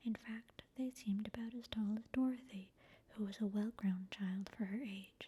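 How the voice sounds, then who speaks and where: At a moderate pace, this soft-spoken voice keeps a calm, gentle tone. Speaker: ASMR channel reader. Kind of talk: soft-spoken ASMR book reading. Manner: soft-spoken, calm, gentle.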